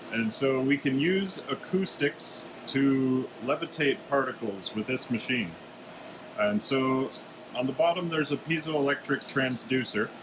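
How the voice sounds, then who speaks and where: A man with an American accent, medium pitch and ordinary pitch variation at a fairly slow pace, over noticeable background noise. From US Midwest, Wisconsin. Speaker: chemistry grad student. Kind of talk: lab tour explanation. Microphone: phone near.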